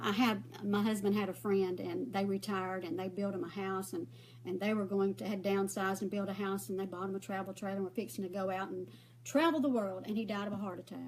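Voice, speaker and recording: A woman with a Southern US accent at a very fast pace. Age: 60s. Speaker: makeup vlogger. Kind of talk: casual chat. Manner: rambling, conversational.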